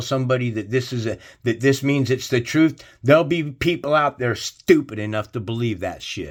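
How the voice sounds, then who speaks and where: With an animated tone, a man speaks at a moderate pace and medium pitch, showing ordinary pitch variation. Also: very clean recording, silent background. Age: 60s. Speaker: online religious commentator. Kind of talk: religious rant to viewers.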